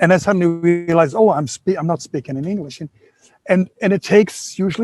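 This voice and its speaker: A man with a German accent talks at a fairly quick pace in a high pitch and a dark, mellow tone, his intonation lively and the sound dry and close with no echo. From Germany. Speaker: workshop participant. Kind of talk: audience Q&A contribution. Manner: halting.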